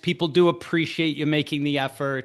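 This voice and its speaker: A man with an American accent, against a quiet background. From United States. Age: middle-aged. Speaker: financial advisor. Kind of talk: casual talk to camera. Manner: repeats words, some stammering.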